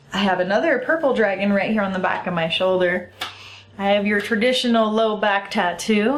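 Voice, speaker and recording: A woman of medium pitch speaks at a fairly quick pace with ordinary pitch variation, amid noticeable background noise and audible room echo. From US. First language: Italian. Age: 30s. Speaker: vlogger. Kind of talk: casual vlog talk. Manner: animated.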